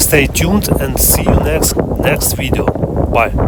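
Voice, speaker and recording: A man talks with a non-native accent. There is audible room echo along with noticeable background noise. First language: not English. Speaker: phone collector vlogger. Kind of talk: show-and-tell video. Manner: halting.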